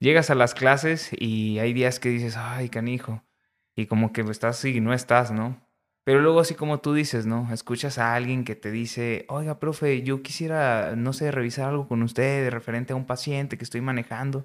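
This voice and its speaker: A man speaks in a normal speaking voice at a moderate pace with fairly even intonation. The recording is very clean, with a silent background. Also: medium pitch for a man. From northern Mexico, Coahuila. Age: 30s. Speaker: nutritionist and government official. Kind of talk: casual interview chat.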